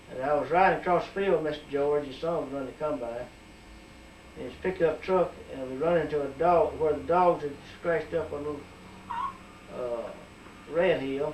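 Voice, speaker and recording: A man with an Alabama accent talks at a fairly high pitch, leaving long, frequent pauses. Audible room echo and noticeable background noise surround his voice. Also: ordinary pitch variation, moderate pace. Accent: Southern US (Alabama). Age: 60s. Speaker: community member. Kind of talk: oral history interview.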